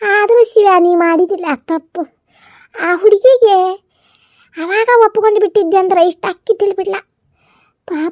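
A woman uses a cartoonish character voice with an extremely high pitch. She talks at a fairly slow pace. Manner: muttering, repetitive complaining.

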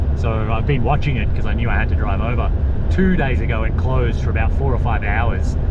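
Against loud background noise, a man with an Australian accent talks very fast in a very deep, low voice, his loudness very even and the sound dry with no echo. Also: ordinary pitch variation. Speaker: travel vlogger. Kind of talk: casual vlog narration. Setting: outdoors in winter. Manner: animated. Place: car.

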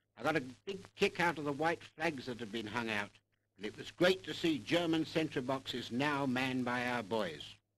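An ordinary speaking voice from a man at medium pitch, with lively intonation, a moderate pace and a quiet background. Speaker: newsreel cameraman. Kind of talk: 1944 newsreel narration, a wartime eyewitness account read to the public. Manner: brisk, clipped and upbeat, with patriotic fervor; formal, proud, declamatory BBC-style delivery.

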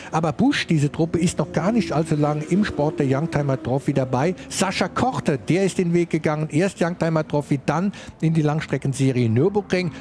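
A man speaks at a moderate pace and fairly high pitch, with ordinary pitch variation, very even loudness and hardly any pauses. Noticeable background noise is present. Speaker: motorsport commentator. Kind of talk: live commentary.

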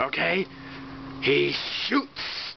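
A cartoonish character voice against clear background noise. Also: man. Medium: puppet show. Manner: playful, excitable, sports-announcer hype.

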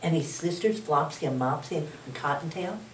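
A woman at a fairly low pitch and moderate pace, with audible room echo. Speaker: storytime reader. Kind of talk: children's story reading. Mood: warm, cheerful. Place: home room.

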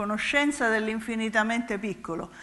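A woman's fairly high, bright and sharp voice at a moderate pace. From Calabria, southern Italy. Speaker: physicist; physicist lecturer. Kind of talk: public lecture; lecture. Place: stage.

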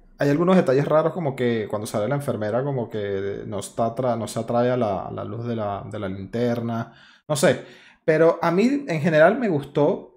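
A man at medium pitch with a Venezuelan accent. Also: lively intonation, moderate pace. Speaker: podcast host. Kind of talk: casual chat. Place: home room. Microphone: studio mic.

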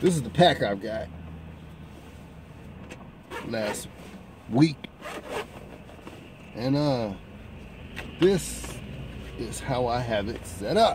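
A man speaks at a very slow pace, with long, frequent pauses and big swings in loudness. The sound is dry with no echo, and there is noticeable background noise. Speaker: pipe smoker vlogger. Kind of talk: casual vlog chat. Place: car. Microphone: phone near.

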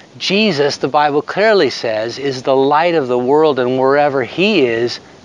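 A man's fairly high-pitched voice at a very slow pace, dry with no echo. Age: 60s. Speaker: devotional speaker. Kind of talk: devotional talk to camera. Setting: outdoors. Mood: hopeful, earnest. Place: open country. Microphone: phone near.

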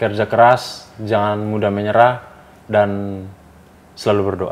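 A man's fairly low voice, monotone and flat, at a very slow pace with long, frequent pauses. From Indonesia, East Nusa Tenggara (Soe); East Nusa Tenggara, Indonesia. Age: young. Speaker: professional footballer; guest. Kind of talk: casual interview. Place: studio.

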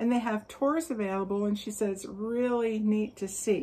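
Her tone dark and mellow, a woman speaks at a moderate pace. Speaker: yarn crafts vlogger. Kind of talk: casual vlog chat. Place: garden. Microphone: phone near.

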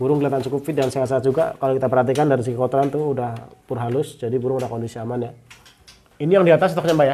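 A man speaks at a very fast pace with light background noise behind him. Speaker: bird market reviewer / YouTuber. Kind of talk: street seller price haggling, shop-visit review chat. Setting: outdoors at a bird stall. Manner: fast, chatty, rapid-fire price questions; friendly, upbeat, polite. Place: shop.

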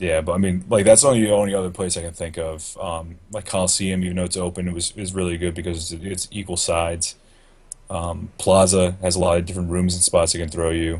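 A man's very deep, low voice, somewhat breathy and monotone, with flat intonation. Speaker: gaming podcast co-host. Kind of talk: casual chat. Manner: mellow. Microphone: video call.

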